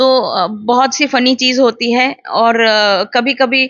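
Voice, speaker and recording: A woman speaks in a fairly high voice. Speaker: animal welfare activist. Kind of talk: interview.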